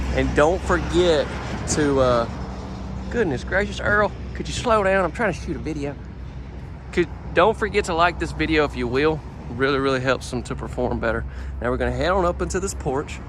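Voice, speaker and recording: The speaker talks in a strong Southern US accent at a fairly quick pace. Long pauses come often. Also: man. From US South. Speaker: home tour vlogger. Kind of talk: home tour vlog. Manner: animated.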